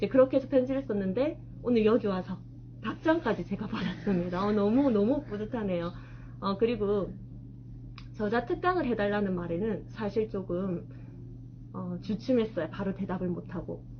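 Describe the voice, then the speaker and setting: Long, frequent pauses break up speech that otherwise holds a moderate pace. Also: woman. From South Gyeongsang, Korea (Changwon, Masan). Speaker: middle school math teacher and author. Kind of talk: author talk to an audience. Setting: bookstore event with live audience.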